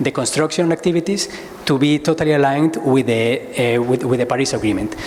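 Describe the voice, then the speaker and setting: Against noticeable background noise, the voice holds a fairly even intonation. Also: man. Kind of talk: conference presentation. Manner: fast; halting, many repetitions.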